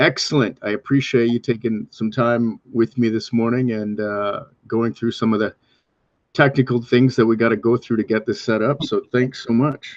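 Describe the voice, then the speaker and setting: Recorded with a dry, close sound and no echo, a man speaks in a plain, everyday voice. He keeps a medium pitch, a moderate pace and fairly even intonation. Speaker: fight commentator. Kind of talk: podcast interview host.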